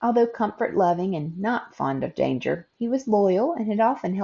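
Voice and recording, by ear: A passage is read aloud in a natural voice.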